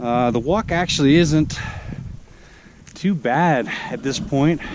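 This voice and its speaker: Very slowly, a man with a fairly high voice speaks with lively intonation. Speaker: hiking vlogger. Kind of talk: outdoor vlog narration. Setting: outdoors on a mountain trail.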